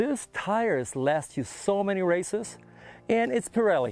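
A man speaks with a dry sound that has no echo. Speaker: presenter. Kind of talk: casual walkaround commentary. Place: open country. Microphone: lapel.

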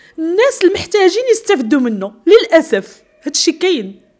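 A woman with very wide pitch swings. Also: quiet background. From Morocco. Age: 40s. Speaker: bombing survivor; interviewee. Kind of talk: testimony. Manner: halting. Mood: emotional, pleading. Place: studio. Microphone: handheld.

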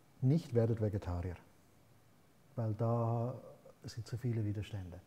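A man's somewhat breathy voice with a dark, mellow tone, at a moderate pace with fairly even intonation. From Switzerland. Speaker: author and philosopher; interview guest. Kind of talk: interview. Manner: halting. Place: studio. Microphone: lapel.

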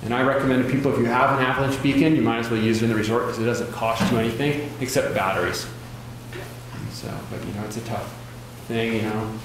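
A man talking at a very fast pace with fairly even intonation, amid strong room echo and light background noise. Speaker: avalanche course instructor. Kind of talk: lecture. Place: hall. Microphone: camera far.

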